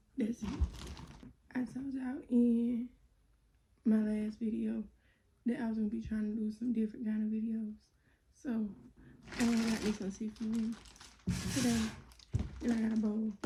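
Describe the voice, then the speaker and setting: Soft-spoken and somewhat breathy, a woman with a fairly high pitch and a dark, mellow tone speaks in a monotone, flat intonation with long, frequent pauses. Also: moderate pace. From South Carolina. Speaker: YouTuber. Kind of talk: mukbang Q&A, casual chat. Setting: eating on camera. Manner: soft-spoken, quiet.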